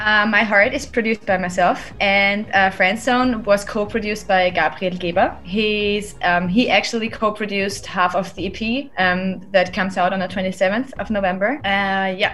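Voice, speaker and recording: Nearly without pauses, a woman with a German accent speaks at a moderate pace and medium pitch, with fairly even intonation and a bright, sharp tone. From Austria (Styria). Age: 30s. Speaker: singer and producer. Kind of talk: interview. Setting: at home, remote call.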